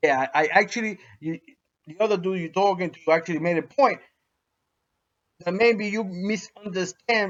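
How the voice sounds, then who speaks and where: A man with a New York accent speaks at a high pitch and a moderate pace, with ordinary pitch variation. His loudness swings widely, and he takes long, frequent pauses. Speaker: dog breeder vlogger. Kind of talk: response video monologue. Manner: halting, repetitive.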